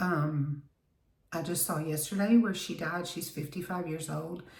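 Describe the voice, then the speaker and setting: A woman's somewhat breathy, fairly low voice at a fairly slow pace, with ordinary pitch variation and audible room echo. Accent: Southern US. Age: 60s. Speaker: beauty vlogger. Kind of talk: casual chat.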